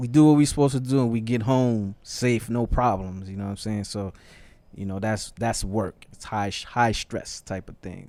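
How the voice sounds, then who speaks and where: A man talks in a New York accent at a medium pitch with ordinary pitch variation. His tone is dark and mellow. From New York, the Bronx. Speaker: music label executive. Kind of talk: podcast conversation. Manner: slow.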